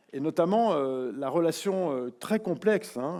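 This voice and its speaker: Very slow and with lively intonation, a man speaks in a fairly high voice with a dark, mellow tone on a very clean recording with a silent background. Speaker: keynote speaker, media academic. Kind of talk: keynote lecture. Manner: hesitant, many filler sounds.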